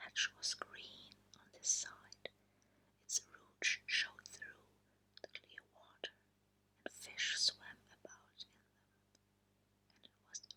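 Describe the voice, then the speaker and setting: In a German accent, a woman whispers very slowly in a soothing tone, the sound dry and close with no echo. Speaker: ASMR creator. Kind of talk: short story reading. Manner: whispered, soothing.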